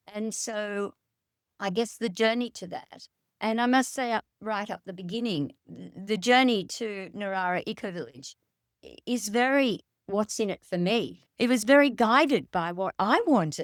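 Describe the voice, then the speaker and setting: On a very clean recording with a silent background, a woman with an Australian accent speaks at a fairly slow pace and fairly high pitch, with ordinary pitch variation, big swings in loudness, and a dry, close sound with no echo. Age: 70s. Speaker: ecovillage founder. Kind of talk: interview.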